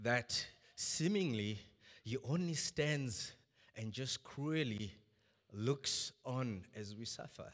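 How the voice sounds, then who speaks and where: Long, frequent pauses break up a man's very slow speech. His medium-pitched voice has lively intonation. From Zimbabwe. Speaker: preacher. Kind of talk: sermon. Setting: church service with congregation.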